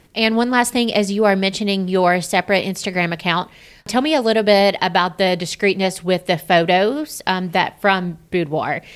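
A plain, everyday voice from a woman at a medium pitch, ordinary pitch variation, on a very clean recording with a silent background. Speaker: podcast host and wedding vendor. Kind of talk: casual interview chat.

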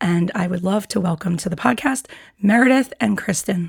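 Her medium-pitched voice has vocal fry, a slightly husky edge and ordinary pitch variation. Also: moderate pace.

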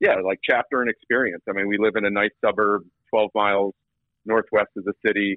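This is a normal speaking voice with an American accent. The pace is fairly quick. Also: man. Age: 30s. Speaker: entrepreneur and former college baseball player. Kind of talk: casual interview.

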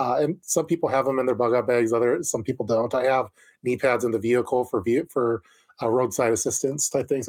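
A man talks at a fairly quick pace in a plain, everyday voice. His intonation stays fairly even. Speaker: co-host prepper streamer.

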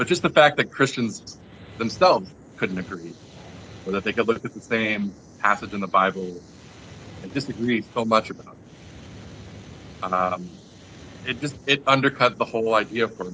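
With an American accent, a man speaks at medium pitch and a moderate pace, his intonation lively and broken by long, frequent pauses. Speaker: guest. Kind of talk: casual interview chat.

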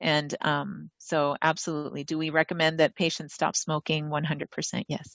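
Her pitch very deep and low, a woman with an American accent talks at a moderate pace in a monotone, flat intonation. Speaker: doctor. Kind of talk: casual chat. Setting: video call.

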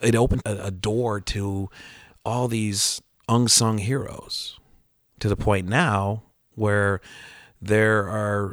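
On a very clean recording with a silent background, a man's fairly low voice has a bright, sharp tone and ordinary pitch variation. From US Midwest, Chicago. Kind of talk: casual chat.

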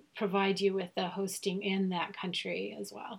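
A woman's somewhat breathy voice sits at medium pitch. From Germany. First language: German. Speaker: podcast host. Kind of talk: interview.

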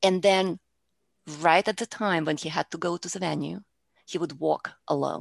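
A woman with a Russian accent speaks at a moderate pace, with vocal fry and long, frequent pauses. The sound is dry and close with no echo. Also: fairly even intonation. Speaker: public speaking coach. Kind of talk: interview.

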